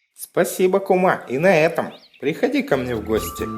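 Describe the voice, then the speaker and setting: A cartoonish character voice at a middle pitch swings very widely in pitch. It moves at a fairly quick pace over faint background music. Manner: polite, measured.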